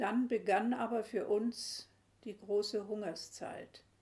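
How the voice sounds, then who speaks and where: This woman's medium-pitched voice is somewhat breathy, with monotone, flat intonation. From Silesia. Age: 80s+. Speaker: war eyewitness. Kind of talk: interview answer.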